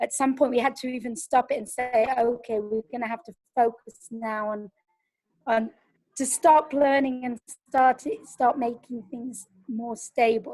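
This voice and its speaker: A woman's high voice in an English accent, dark and mellow in tone, with fairly even intonation, big swings in loudness and a dry, close sound with no echo. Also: fairly slow pace. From England. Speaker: pedagogical advisor. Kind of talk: webinar answer.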